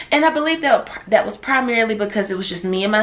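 The woman speaks with lively intonation. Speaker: travel vlogger. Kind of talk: casual vlog chat. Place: home room. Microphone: phone near.

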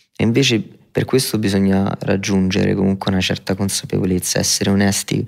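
At a moderate pace, a man with a fairly low voice speaks in a monotone, flat intonation with very even loudness. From Rome, Italy. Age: 20s. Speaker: rapper. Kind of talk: interview. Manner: reflective.

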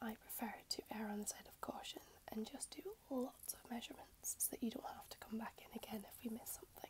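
A woman is whispering. Her pace is fairly quick. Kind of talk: client consultation talk. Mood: friendly, calm. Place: home room. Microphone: earbuds.

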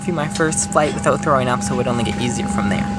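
There is music in the background while a man speaks. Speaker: vlogger. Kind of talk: casual vlog chat. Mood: excited, playful. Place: plane. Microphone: phone near.

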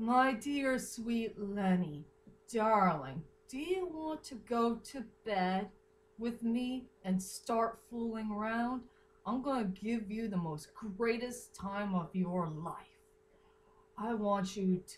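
A woman speaks at a very slow pace. There is light background noise. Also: lively intonation. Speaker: fan fiction reader. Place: home room. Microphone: webcam.

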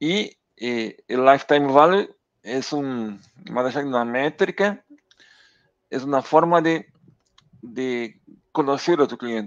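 Against a quiet background, the speech moves at a very slow pace with long, frequent pauses and ordinary pitch variation. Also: man. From southern Brazil, near Uruguay border. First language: Portuguese (speaking Spanish). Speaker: data executive; guest. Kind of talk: interview conversation. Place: home room. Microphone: headset.

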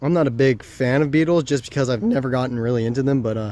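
A man speaks at a fairly quick pace in a dark, mellow tone, with ordinary pitch variation. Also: dry sound with no echo. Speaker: nature vlogger. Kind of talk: casual vlog chat. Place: garden. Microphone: phone near.

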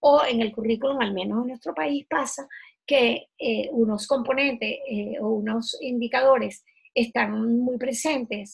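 A woman's fairly high voice with vocal fry and a slightly husky edge, at a moderate pace

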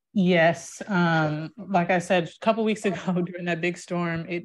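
A woman speaks in a flat monotone at a fairly low pitch. The background is quiet. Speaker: homeowner seeking contractor. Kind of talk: casual online networking meeting. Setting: video call. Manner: hesitant, many ums. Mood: storytelling, lightly humorous. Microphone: video call.

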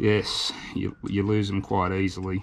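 In an Australian accent, the voice comes through over light background noise. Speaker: YouTube travel vlogger. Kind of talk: DIY tutorial. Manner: casual, halting with fillers. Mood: relaxed, cheerful. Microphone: phone near.

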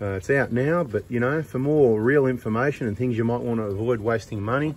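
A man at a fairly quick pace, with ordinary pitch variation and a dry sound with no echo. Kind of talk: casual commentary. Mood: joking, mildly annoyed. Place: workshop. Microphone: phone near.

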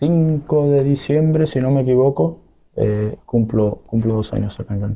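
A man at a fairly slow pace with ordinary pitch variation. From Sinaloa, Mexico. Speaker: professional footballer; guest. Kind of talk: interview. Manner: halting. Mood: calm, hopeful. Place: studio. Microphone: studio mic.

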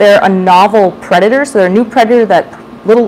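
Against light background noise, a woman talks at a very fast pace with ordinary pitch variation. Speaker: educator giving a public talk. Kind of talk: lecture. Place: hall.

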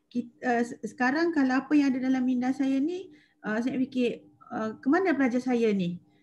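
This woman's voice is high. She talks at a medium speed, her pitch shifting in a normal way. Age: 40s. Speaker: secondary school maths teacher. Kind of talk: webinar presentation. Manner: halting, many fillers. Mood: warm, enthusiastic. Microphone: video call.

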